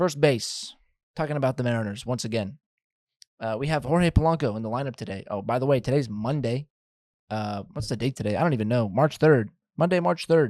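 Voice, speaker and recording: This is a man with a plain, everyday voice at a medium pitch and ordinary pitch variation. He talks at a fairly quick pace in a dry, close sound with no echo. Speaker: baseball podcast host. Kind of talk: casual podcast monologue.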